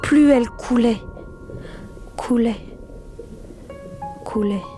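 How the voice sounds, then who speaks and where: With music in the background, a woman speaks at a fairly high pitch with fairly even intonation. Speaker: voice actor. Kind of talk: read story. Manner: slow, suspenseful.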